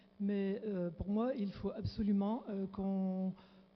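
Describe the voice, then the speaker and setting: A woman speaks at medium pitch and a fairly slow pace, her voice somewhat breathy. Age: 60s. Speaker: audience member asking question. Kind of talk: audience question. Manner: halting.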